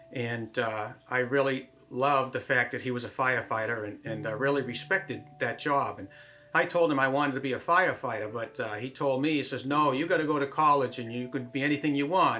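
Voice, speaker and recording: The speech runs at a fairly quick pace with hardly any pauses and ordinary pitch variation. Noticeable background noise sits behind it. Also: man, medium pitch for a man. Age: 60s. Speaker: airline pilot. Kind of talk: interview testimony.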